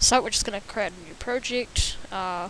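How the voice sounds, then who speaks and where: A woman delivers her words at a moderate pace in a monotone, flat intonation. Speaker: programming tutor. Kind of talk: tutorial. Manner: halting, many fillers; stutter.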